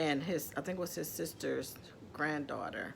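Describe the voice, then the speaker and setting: A woman with vocal fry and a very deep, low pitch speaks at a moderate pace, her pitch varying in an ordinary way. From Ohio, US Midwest. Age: 50s. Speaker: adoptee telling her life story. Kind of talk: personal testimony. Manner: hesitant, many fillers.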